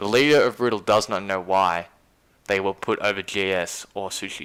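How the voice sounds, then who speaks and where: Very clean recording with a silent background of a man with an Australian accent, fairly low pitch, moderate pace and fairly even intonation. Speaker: livestream host, gaming commentator. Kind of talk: casual live stream chat.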